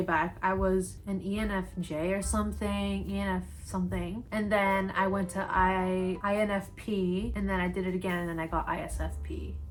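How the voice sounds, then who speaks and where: A woman talks with hardly any pauses. Audible room echo surrounds her voice. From Brazil. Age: 20s. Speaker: YouTuber and university student. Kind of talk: casual chat.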